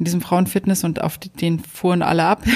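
Woman with a normal speaking voice, fairly low in pitch, at a fairly quick pace. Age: 40s. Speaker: podcast host. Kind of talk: casual chat.

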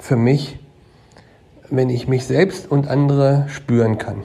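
A man speaks with a fairly high pitch. His pace is very slow and his intonation fairly even. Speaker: asset manager. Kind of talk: interview.

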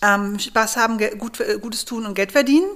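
With lively intonation and a fairly high pitch, a woman talks in an ordinary speaking voice at a moderate pace. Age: 40s. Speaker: startup founder, geoscientist. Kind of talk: interview, personal story. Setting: at home.

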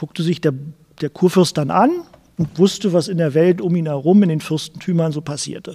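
The voice has a dark, mellow tone and fairly even intonation. It moves at a very fast pace. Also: man. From Berlin (West Berlin, Charlottenburg). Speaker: journalist and author. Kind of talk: interview. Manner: halting, many repetitions and fillers.

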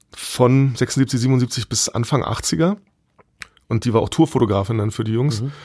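Slow-paced, somewhat breathy speech comes from a man. His medium-pitched voice has a dark, mellow tone and ordinary pitch variation. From East Berlin, Germany. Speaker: music tour guide. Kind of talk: casual interview.

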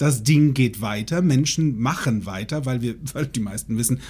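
A man's voice at a moderate pace, with vocal fry. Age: 40s. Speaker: podcast host. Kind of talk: casual chat. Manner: animated.

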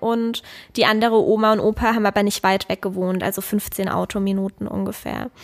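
Her voice is pitched fairly high, with ordinary pitch variation. This woman keeps a moderate pace. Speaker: podcast co-host, parent. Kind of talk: casual chat.

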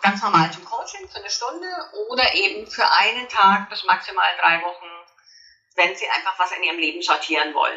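Lively intonation and a moderate pace from a woman with an unremarkable speaking voice. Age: 50s. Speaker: author and coach. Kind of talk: interview.

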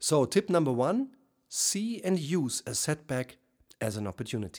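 Recorded very cleanly against a silent background, a man with a German accent talks at a moderate pace with very wide pitch swings. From Germany. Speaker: leadership coach. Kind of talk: solo podcast monologue. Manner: formal.

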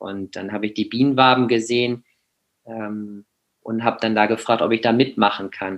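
Flat and monotone, a man talks at a moderate pace with big swings in loudness. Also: medium pitch for a man. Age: 20s. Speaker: beekeeper. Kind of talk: interview. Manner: halting.

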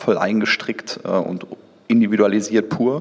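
Speaking at a fairly slow pace, a man uses a normal speaking voice that sits fairly low in pitch, with ordinary pitch variation. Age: 30s. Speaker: entrepreneur and digital executive. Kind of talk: interview. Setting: event venue overlooking Düsseldorf.

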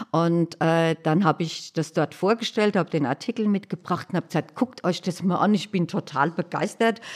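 Dry and close with no echo on a very clean recording with a silent background, a woman speaks at a moderate pace and a fairly low pitch, with ordinary pitch variation and hardly any pauses. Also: very even loudness. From Hesse, Germany (Hanau). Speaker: accessibility activist, wheelchair user. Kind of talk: interview. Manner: cheerful, often laughing.

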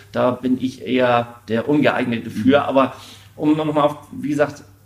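Noticeable background noise sits behind a man's voice. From Schleswig-Holstein, northern Germany. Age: 40s. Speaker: charity volunteer. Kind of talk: interview.

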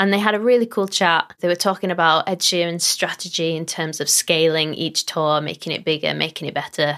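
With a normal speaking voice and a fairly low pitch, a woman talks at a fairly quick pace with hardly any pauses in a very clean recording with a silent background. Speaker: podcast host. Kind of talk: casual interview chat. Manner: upbeat, friendly.

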